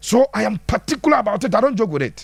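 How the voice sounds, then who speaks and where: A man with a Ghanaian accent speaks at a fairly quick pace. His voice sits high for a man and swings very widely in pitch. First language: Twi. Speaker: football pundit. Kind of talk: live-stream football analysis answering viewer comments. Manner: animated.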